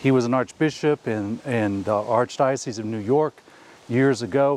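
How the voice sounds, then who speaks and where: A man with an American accent at a fairly slow pace, dry and close with no echo. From US. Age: 60s. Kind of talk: talk to camera. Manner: halting.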